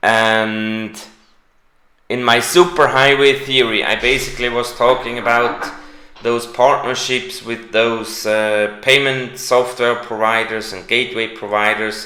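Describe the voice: A man's bright, sharp tone with little pitch movement and strong room echo. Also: medium pitch for a man, fairly slow pace.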